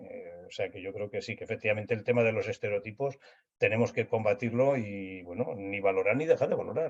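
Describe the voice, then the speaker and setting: A man at a very fast pace. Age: 70s. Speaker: social services expert, panel speaker. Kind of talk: webinar panel discussion.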